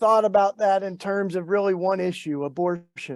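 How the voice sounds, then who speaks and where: With a Southern US accent, a man speaks in a high pitch. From US South, Tennessee. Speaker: activist and author. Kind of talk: talk to an online faith gathering. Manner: halting, many fillers.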